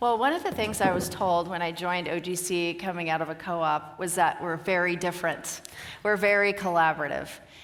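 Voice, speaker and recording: With a Pacific Northwest accent, a woman talks at a fairly quick pace and with fairly even intonation, amid noticeable background noise and audible room echo. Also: fairly low pitch for a woman. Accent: American (Pacific Northwest). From US, Oregon. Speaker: company executive, conference speaker. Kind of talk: conference Q&A. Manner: fast.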